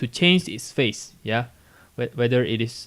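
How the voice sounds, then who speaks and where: A man talks at a moderate pace. His pitch sits in the medium range. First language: not English. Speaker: physics teacher. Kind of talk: classroom lecture, tutorial explanation.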